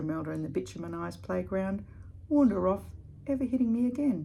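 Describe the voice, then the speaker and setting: A woman talks at a very fast pace in an Australian accent. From Australia, Perth. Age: 60s. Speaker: blogger. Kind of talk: reading aloud.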